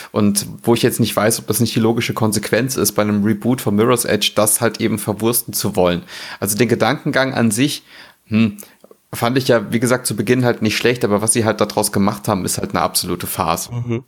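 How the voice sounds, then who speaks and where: A man with a plain, everyday voice, at a fairly quick pace, with fairly even intonation. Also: medium pitch for a man. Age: 30s. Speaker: gaming blogger. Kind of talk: casual chat.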